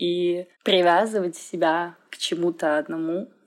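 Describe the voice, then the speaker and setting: Fairly low in pitch, a woman uses a plain, everyday voice with fairly even intonation. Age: 20s. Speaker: fitness trainer and dance practitioner. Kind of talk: recorded testimony.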